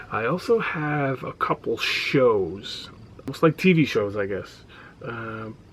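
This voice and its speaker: Mumbling at a very slow pace, a man with a medium pitch and lively intonation shows big swings in loudness over noticeable background noise. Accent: American. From New York. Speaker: reseller vlogger, former radio producer. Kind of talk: casual vlog monologue. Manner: quiet, not loud.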